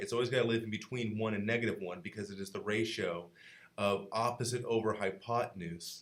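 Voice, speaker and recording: A man with a fairly low pitch talks, and room echo can be heard. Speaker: math lecturer. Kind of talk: lecture. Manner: fast.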